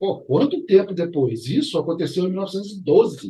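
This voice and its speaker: The voice is a man's. It has a dark, mellow tone. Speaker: arbitration and mediation YouTuber. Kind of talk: educational vlog. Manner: casual, conversational.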